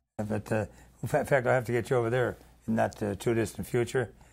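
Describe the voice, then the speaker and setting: A very fast voice with an American accent and ordinary pitch variation, in a very clean recording with a silent background. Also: man. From South Side of Chicago. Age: 90. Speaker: PR man and former radio DJ. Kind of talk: casual chat. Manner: halting.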